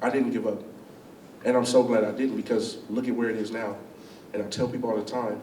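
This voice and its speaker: A man with a medium pitch talks at a very fast pace in an animated tone, leaving long, frequent pauses. Audible room echo and noticeable background noise fill the recording. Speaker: chef and business owner. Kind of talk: school talk, Q&A. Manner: loud.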